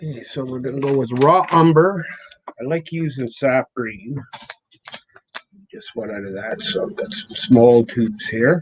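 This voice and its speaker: This man speaks quietly at a fairly slow pace, with long, frequent pauses. His loudness swings widely. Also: medium pitch for a man, lively intonation. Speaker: self-taught painter. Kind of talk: live painting demonstration.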